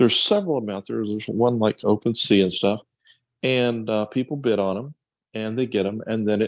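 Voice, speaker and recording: In a dry, close sound with no echo, a man with a fairly low pitch speaks at a fairly quick pace. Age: 60s. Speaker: presenter on a business call. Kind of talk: casual presentation. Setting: video call. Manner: hesitant, many fillers.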